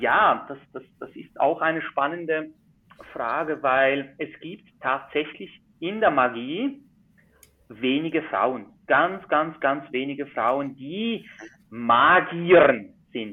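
Speaking in a Swiss accent at a very slow pace, a man uses a fairly high pitch with ordinary pitch variation and big swings in loudness. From Switzerland. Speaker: magician. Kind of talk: casual interview.

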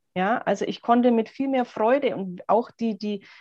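Against a quiet background, a woman with an unremarkable speaking voice talks at a fairly high pitch with lively intonation. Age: 30s. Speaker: coach who recently went self-employed. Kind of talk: interview.

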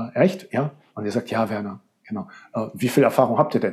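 This man has an ordinary speaking voice, talking at a moderate pace with ordinary pitch variation. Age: 40s. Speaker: rhetoric coach. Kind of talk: interview.

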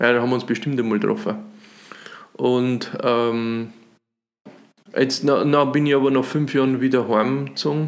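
At a moderate pace broken by long, frequent pauses, a man speaks at medium pitch with fairly even intonation. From Upper Palatinate, Bavaria (Runding near Cham). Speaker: cabaret artist and musician. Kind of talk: casual interview chat. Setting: dining room at host's home.

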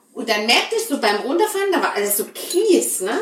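Against noticeable background noise, a woman speaks at a fairly slow pace in an animated tone, her pitch swinging very widely. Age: 30s. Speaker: podcast host. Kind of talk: casual chat.

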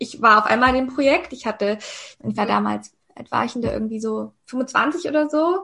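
The woman's voice is high-pitched, and her pace is moderate. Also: ordinary pitch variation. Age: 30s. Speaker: mindset coach. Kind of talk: podcast interview.

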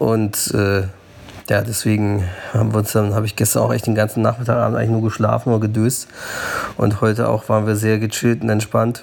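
There is noticeable background noise behind a man talking at a fairly quick pace. His loudness stays very even. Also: fairly low pitch for a man. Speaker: podcast host. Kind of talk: casual travel chat. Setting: on the road, train station and airport.

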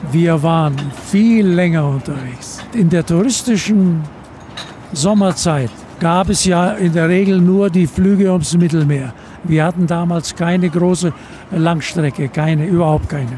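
There is noticeable background noise as a man talks at a high pitch with ordinary pitch variation. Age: 80s+. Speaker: retired airline captain. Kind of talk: interview. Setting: on board an aircraft.

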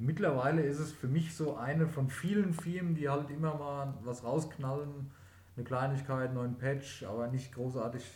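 A man's somewhat breathy voice, fairly high in pitch, at a moderate pace with fairly even intonation and audible room echo. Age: 30s. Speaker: podcast host, gamer. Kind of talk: casual chat.

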